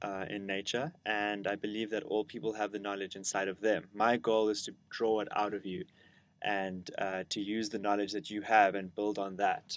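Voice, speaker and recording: Against a quiet background, a man with a South African accent speaks at a moderate pace and a fairly low pitch. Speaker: educator, lecturer. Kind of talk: lecture.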